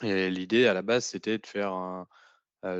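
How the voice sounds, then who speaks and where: A man's fairly low voice with fairly even intonation, at a fairly slow pace, dry and close with no echo over a quiet background. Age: 30s. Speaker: trainee in a tech retraining program. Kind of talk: podcast testimony. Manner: hesitant, many fillers.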